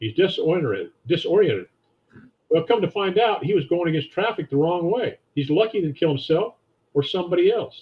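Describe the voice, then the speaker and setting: Here a man speaks at a high pitch with lively intonation. He keeps a moderate pace. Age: 70s. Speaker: financial advisor. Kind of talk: interview.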